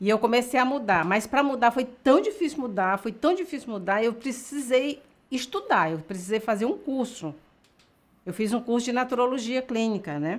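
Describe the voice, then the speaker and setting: The voice belongs to a woman and sits high. She talks neither fast nor slow. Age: 60s. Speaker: natural health educator. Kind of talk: health webinar interview. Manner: halting, many restarts.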